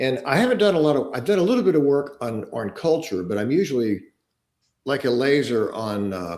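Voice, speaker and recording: Here a man speaks at a fairly quick pace. His fairly high pitch swings very widely. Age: 70s. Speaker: organizational development consultant. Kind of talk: interview.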